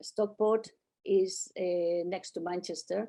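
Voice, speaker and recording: With a Catalan accent, a woman speaks at a medium pitch in a dark, mellow tone. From Catalonia, Spain (childhood partly in Netherlands). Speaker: artist and painting holiday organizer. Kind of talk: interview conversation. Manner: halting, with frequent repetitions.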